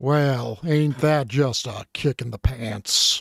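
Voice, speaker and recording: A man uses a put-on character voice at a medium pitch. He speaks at a very slow pace. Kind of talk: folksy.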